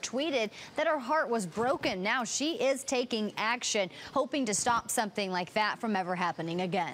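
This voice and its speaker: Fairly high pitch from a woman with an unremarkable speaking voice, lively intonation and a fairly quick pace, over light background noise. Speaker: TV news reporter. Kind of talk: TV news report. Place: studio. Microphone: lapel.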